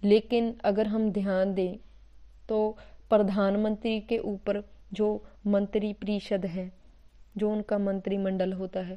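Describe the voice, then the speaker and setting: A woman speaks with a slight Punjabi accent. Her tone is dark and mellow, and her pitch is medium. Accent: slight Punjabi touch in Hindi. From Punjab, India. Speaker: teacher. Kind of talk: lecture. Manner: halting, self-correcting.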